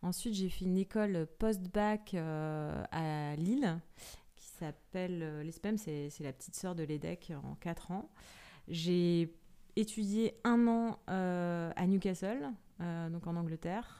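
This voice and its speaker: Dark and mellow in tone, a woman's voice sits fairly low in pitch. She speaks very slowly with ordinary pitch variation. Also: big swings in loudness. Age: 30s. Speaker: business executive in venture capital. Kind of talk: interview. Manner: hesitant, many fillers and repetitions; casual, conversational.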